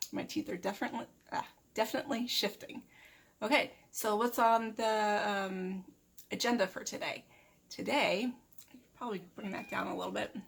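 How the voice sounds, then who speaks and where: A woman speaks at a fairly high pitch and a moderate pace, her voice somewhat breathy. Her pitch varies in an ordinary way, broken by long, frequent pauses. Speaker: crafting vlogger. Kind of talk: casual vlog. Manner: hesitant, many fillers.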